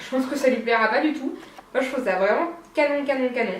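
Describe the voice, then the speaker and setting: A woman at a moderate pace with ordinary pitch variation, amid audible room echo and noticeable background noise. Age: 20s. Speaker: knitting and sewing podcaster. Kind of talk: casual monologue podcast. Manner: hesitant, many fillers.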